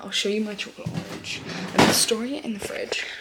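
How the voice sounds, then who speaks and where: Someone whispers with a British accent amid noticeable background noise and audible room echo. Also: woman. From UK. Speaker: vlogger. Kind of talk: casual vlog chat. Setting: at home, early morning. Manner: animated.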